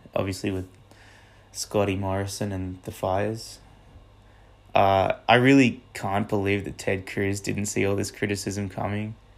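Speaking at a moderate pace with long, frequent pauses, a man uses a fairly low pitch and monotone, flat intonation. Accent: Australian. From Canberra, Australia. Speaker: podcast host. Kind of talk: casual monologue. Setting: outdoors on a walk.

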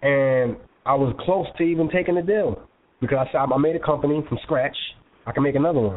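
With a New York accent, the speaker moves at a fairly quick pace, keeping loudness very even and pitch variation ordinary. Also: man. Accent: New York (Bronx) English. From New York, South Bronx. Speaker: magazine co-founder and CEO. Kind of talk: interview. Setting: phone call.

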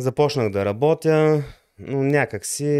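In a dry, close sound with no echo, a man speaks very slowly at a medium pitch with ordinary pitch variation. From Bulgaria, Lovech. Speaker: electronics engineer and programmer. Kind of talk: interview. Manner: halting.

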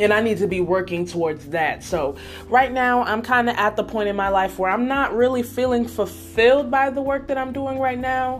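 Over music in the background, a woman with an American accent speaks in an animated tone at a fairly high pitch and a moderate pace, with lively intonation and hardly any pauses. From Nebraska. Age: 20s. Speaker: podcast host. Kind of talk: casual monologue.

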